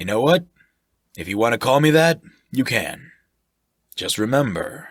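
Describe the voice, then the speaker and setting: Loud and raspy, a man performs a put-on character voice at medium pitch and a moderate pace, with long, frequent pauses, on a very clean recording with a silent background. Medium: read story. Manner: boisterous, jovial.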